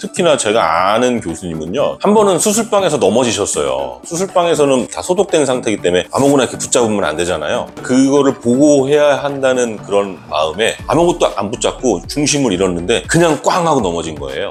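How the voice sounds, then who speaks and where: Music sits in the background as a man with a medium pitch talks at a fairly quick pace with hardly any pauses and very wide pitch swings. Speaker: doctor. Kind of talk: medical explainer video.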